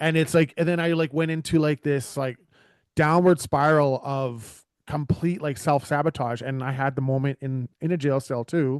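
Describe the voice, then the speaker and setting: An unremarkable speaking voice with a Canadian accent goes at a moderate pace with fairly even intonation. The background is quiet, and the sound is dry and close with no echo. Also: man, fairly high pitch for a man. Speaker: podcast host. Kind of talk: casual conversation.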